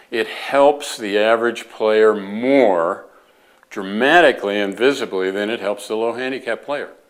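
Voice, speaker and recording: With a plain, everyday voice, a man speaks fairly slowly at a medium pitch and with ordinary pitch variation. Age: 60s. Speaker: golf club designer. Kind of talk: informal educational talk. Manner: conversational with fillers.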